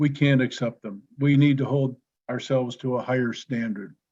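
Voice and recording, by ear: A man with a slightly mellow tone, little pitch movement and a fairly slow pace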